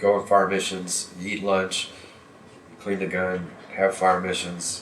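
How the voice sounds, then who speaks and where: A man with a very deep, low voice speaks at a moderate pace, and the room echo is audible. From US Midwest (Kansas). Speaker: war veteran and history teacher. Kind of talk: interview testimony. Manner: halting.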